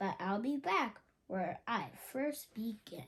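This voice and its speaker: Putting on a character voice, a woman speaks fairly high and fairly slowly with lively intonation. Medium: read story.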